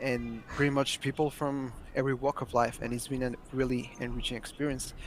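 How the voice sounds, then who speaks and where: Intonation is monotone and flat from a man at a medium pitch. He keeps a moderate pace. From Mexico. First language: Spanish. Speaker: language learner. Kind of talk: interview.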